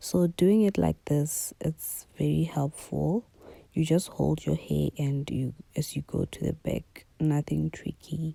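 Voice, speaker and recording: At a very slow pace, this speaker is soft-spoken. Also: woman, dry, close sound with no echo. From South Africa. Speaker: beauty YouTuber. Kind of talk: tutorial.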